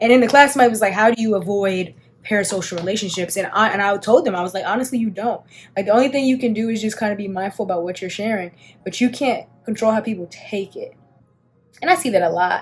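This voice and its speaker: A speaker with an American accent talks at a very fast pace with ordinary pitch variation. Noticeable background noise runs underneath. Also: woman. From Washington DC, Southeast. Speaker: beauty content creator. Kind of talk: casual chat during makeup.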